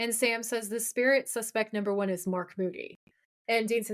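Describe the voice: Over a quiet background, plain reading aloud carries fairly even intonation.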